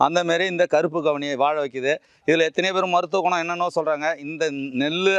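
Here a man has an ordinary speaking voice at a fairly high pitch. His intonation is fairly even, and the sound is dry and close with no echo. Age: 50s. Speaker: organic farmer. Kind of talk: casual explanatory talk.

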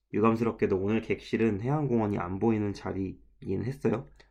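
Over a quiet background, a man with a fairly low pitch and ordinary pitch variation speaks in an unremarkable speaking voice. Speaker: travel vlogger. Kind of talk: vlog voiceover narration. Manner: casual, conversational with self-corrections.

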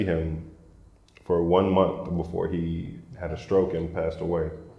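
A man speaks at a fairly slow pace with a very deep, low pitch. His intonation is monotone and flat, and there is audible room echo. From US South, Atlanta, Georgia. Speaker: journalist and documentary filmmaker; journalist. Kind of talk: casual interview. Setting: co-working space. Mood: calm, reflective. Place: office. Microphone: lapel.

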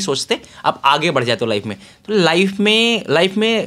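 A man speaks with very wide pitch swings. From Bihar, India. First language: Bhojpuri (speaking Hindi). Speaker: author and tech entrepreneur; guest. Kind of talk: interview. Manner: Hindi-English code-switching. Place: home room. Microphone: handheld.

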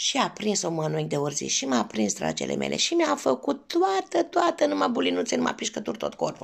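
A woman's warm voice at a fairly quick pace with hardly any pauses, over a quiet background. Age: 50s. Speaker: cooking vlogger. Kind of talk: personal storytelling. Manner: warm, affectionate. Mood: warm, nostalgic. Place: home room. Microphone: phone near.

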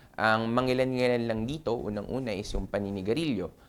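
Medium in pitch, a man talks at a fairly quick pace. He has an unremarkable speaking voice. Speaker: doctor and health show host. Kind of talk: health talk monologue. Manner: casual, filler-heavy.

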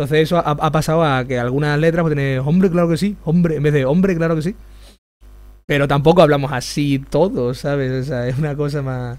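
An Extremaduran accent with fairly even intonation. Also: man, fairly high pitch for a man, fairly quick pace. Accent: Extremaduran Spanish, aspirated h. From Extremadura, Spain. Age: 20s. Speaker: youtuber. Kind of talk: live stream chat while drawing.

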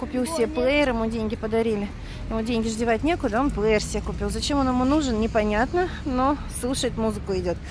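Talking at a fairly quick pace with ordinary pitch variation, a woman is heard in a dry recording with no echo and noticeable background noise. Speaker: travel vlogger. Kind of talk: casual vlog chat. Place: street. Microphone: phone near.

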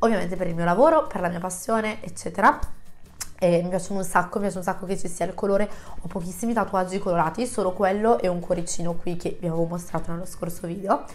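A woman talks very fast at a medium pitch, her pitch varying in an ordinary way. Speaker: YouTuber. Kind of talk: casual vlog chat to camera. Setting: home, close to microphone. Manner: chatty, friendly.

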